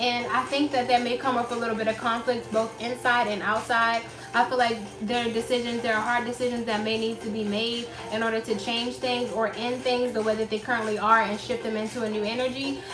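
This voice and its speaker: Her intonation monotone and flat, a woman talks at a fairly quick pace in a fairly high pitch, with audible room echo and noticeable background noise. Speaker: tarot reader. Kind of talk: tarot reading. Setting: at home with child. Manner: loud; casual.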